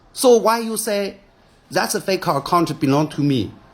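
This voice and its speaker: At a moderate pace, a man speaks with a Chinese accent. His pitch swings very widely. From China. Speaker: businessman. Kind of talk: video statement responding to accusations. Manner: halting, repeated words and fillers.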